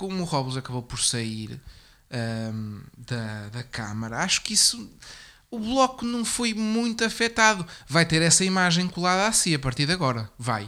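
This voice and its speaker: This man's voice sits high in pitch and swings very widely. He keeps a moderate pace. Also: very clean recording, silent background. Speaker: political commentary podcast host. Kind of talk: casual political discussion.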